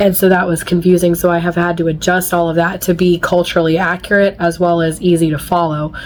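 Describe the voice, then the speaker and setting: A woman rattles off her words at a very fast pace, her intonation monotone and flat, with noticeable background noise behind her. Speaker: author. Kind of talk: casual vlog talk to camera.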